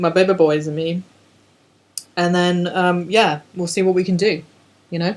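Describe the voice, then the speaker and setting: A woman speaks with an English accent at a fairly low pitch. Her delivery is fairly slow, in a monotone, flat intonation. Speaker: podcast co-host. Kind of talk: casual chat. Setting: at co-host's house, one shared microphone.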